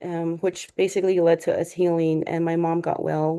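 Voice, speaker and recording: Against a quiet background, a woman with a fairly low pitch and a dark, mellow tone speaks at a moderate pace in a monotone, flat intonation. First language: Navajo. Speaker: public health researcher. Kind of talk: webinar presentation. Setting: online webinar. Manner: halting, frequent fillers.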